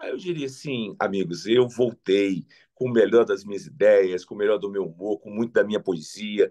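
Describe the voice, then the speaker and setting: Moderate tempo from a male speaker, the sound dry and close without any echo. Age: 60s. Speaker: politician. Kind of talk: interview.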